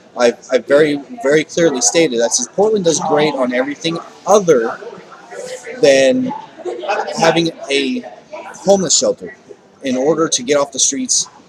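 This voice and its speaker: A man with fairly high pitch and lively intonation, long, frequent pauses, noticeable background noise. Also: moderate pace. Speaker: homeless advocate vlogger. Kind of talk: video diary. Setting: sitting in usual spot, recording to camera. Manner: halting, repeats words.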